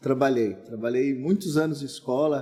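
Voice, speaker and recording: At a moderate pace, a man with a normal speaking voice talks with ordinary pitch variation. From Brazil, São Paulo state (Santo André). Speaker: pastor. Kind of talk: casual interview.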